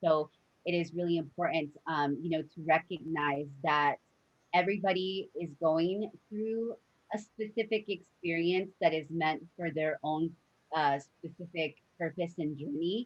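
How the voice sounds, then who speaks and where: Here is a woman with a normal speaking voice and a fairly low pitch. She talks at a fairly slow pace with ordinary pitch variation. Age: 30s. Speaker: podcast host. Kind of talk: interview.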